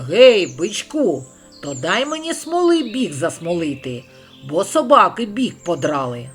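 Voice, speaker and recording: A man uses a put-on character voice at a high pitch and a fairly slow pace. Faint music plays in the background. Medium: read story.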